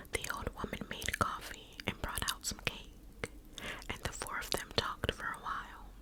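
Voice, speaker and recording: Noticeable background noise fills the recording. Through it, a woman whispers fairly slowly. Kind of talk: ASMR whispered story reading. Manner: whispered, soft, slow.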